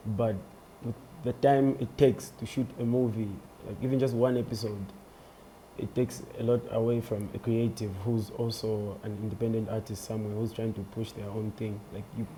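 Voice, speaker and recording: This man's intonation stays fairly even, with noticeable background noise behind him. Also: medium pitch for a man, moderate pace. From Zambia (Kabwe). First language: a Zambian language, not English. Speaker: comedian and musician. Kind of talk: interview.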